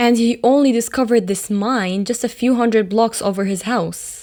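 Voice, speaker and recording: A woman speaks in a plain, everyday voice. Her pitch sits fairly high, and she talks at a moderate pace. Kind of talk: horror story narration.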